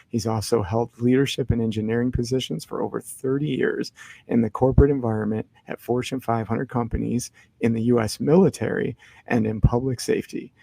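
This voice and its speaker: A man speaks quietly at a fairly quick pace, his medium-pitched voice dark and mellow in tone, with fairly even intonation and a dry, close sound free of echo. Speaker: podcast host. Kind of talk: podcast interview; reading aloud a bio. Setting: library. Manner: quiet, hushed.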